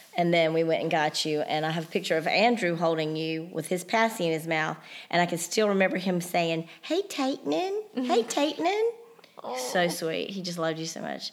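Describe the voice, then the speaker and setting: Speaking at a moderate pace, a woman has an unremarkable speaking voice, fairly low in pitch with ordinary pitch variation. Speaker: mother of the host. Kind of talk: casual chat.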